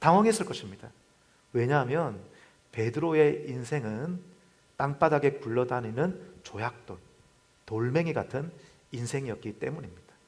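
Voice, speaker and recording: The speech moves at a fairly slow pace with long, frequent pauses, somewhat breathy and with lively intonation. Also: man, medium pitch for a man. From South Korea, Busan (Gyeongsang). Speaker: pastor. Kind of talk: sermon.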